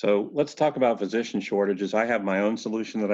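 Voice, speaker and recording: A man with an unremarkable speaking voice talks at a fairly quick pace, his pitch fairly low and his intonation fairly even, over a quiet background. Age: 60s. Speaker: podcast host and healthcare CEO. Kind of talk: interview.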